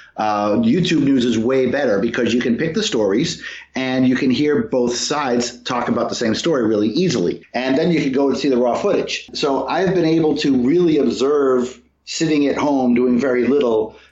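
A man's medium-pitched voice at a moderate pace, with ordinary pitch variation, very even loudness and noticeable background noise. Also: hardly any pauses. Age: 50s. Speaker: atheist activist, former organization president. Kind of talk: interview.

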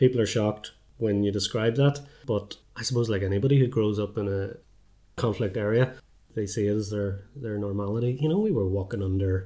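A man talks at a fairly quick pace in a fairly low pitch. His intonation stays fairly even. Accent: Belfast. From Northern Ireland, North Belfast. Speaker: filmmaker. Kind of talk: casual chat.

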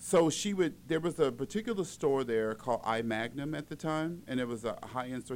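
With an American accent, a man speaks in a plain, everyday voice, using lively intonation at a fairly quick pace. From Las Vegas, Nevada. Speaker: celebrity stylist. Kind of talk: interview, casual chat.

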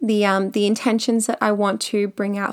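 With an Australian accent and an animated tone, a woman speaks at a fairly high pitch on a very clean recording with a silent background. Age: 30s. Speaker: podcast host and makeup artist. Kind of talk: solo podcast monologue.

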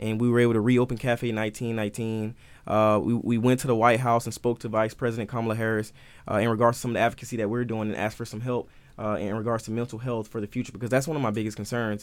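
A man with an American accent, very fast and monotone, on a very clean recording over a silent background. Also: medium pitch for a man. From US South, southern Georgia. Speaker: student government president and candidate. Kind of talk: interview.

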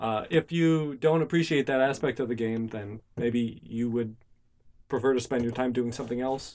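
A man with an unremarkable speaking voice at a medium pitch, moderate pace and ordinary pitch variation. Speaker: podcast co-host. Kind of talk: casual chat.

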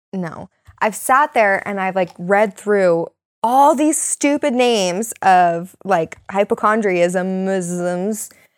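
A woman of medium pitch speaks at a very slow pace with lively intonation. The recording is very clean, with a silent background. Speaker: podcast host. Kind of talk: casual chat. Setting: basement home recording.

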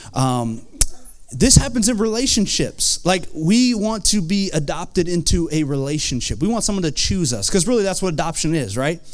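Over noticeable background noise, a man with an American accent talks in an animated tone at a high pitch with very wide pitch swings. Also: moderate pace. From Vermont, US. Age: 30s. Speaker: pastor. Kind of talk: sermon. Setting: church.

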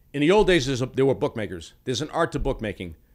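Very fast male speech with an American accent, lively intonation and vocal fry. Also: very clean recording, silent background. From Massachusetts, Boston area. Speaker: professional sports bettor. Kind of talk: casual chat.

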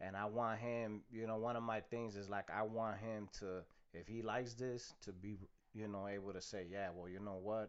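A man's fairly low voice with an American accent, monotone and flat in intonation, at a moderate pace. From Chicago. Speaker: salsa band musician. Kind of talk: casual interview chat. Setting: studio, also streamed on video.

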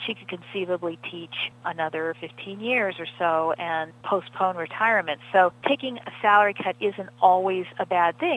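This is a plain, everyday voice with hardly any pauses and a moderate pace. Pitch variation is ordinary, while loudness swings widely. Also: woman, medium pitch for a woman. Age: 50s. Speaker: financial journalist. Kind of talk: interview.

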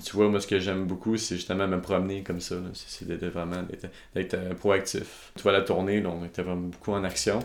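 A man with a Quebec accent speaks at a fairly low pitch in a monotone, flat intonation. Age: 20s. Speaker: videographer and entrepreneur. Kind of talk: interview. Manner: halting.

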